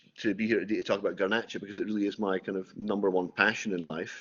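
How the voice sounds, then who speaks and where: A man speaks with a Scottish accent. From Scotland. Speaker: winemaker. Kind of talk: tutored wine tasting. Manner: hesitant, many fillers.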